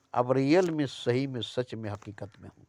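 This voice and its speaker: With ordinary pitch variation at a medium pitch, a man talks in an ordinary speaking voice. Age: 60s. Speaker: spiritual speaker. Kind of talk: spiritual talk. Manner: repetitive.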